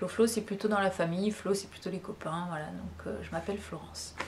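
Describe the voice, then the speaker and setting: A woman speaks at a moderate pace with fairly even intonation. Background noise is noticeable. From western France (La Rochelle). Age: 40s. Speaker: vlogger. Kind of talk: casual chat. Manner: hesitant, many fillers.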